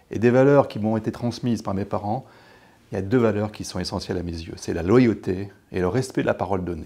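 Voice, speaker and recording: A man with a dark, mellow tone speaks at a fairly low pitch and a fairly quick pace, with ordinary pitch variation. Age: 60s. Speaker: lawyer and local politician, election candidate; lawyer, local politician, election candidate. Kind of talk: campaign interview. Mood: calm, warm, confident. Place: studio.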